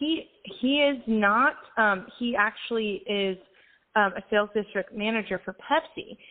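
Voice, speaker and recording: Speaking fairly slowly, a woman with an unremarkable speaking voice uses lively intonation at a fairly high pitch. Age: 30s. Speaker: singer-songwriter. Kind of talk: casual interview chat. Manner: upbeat.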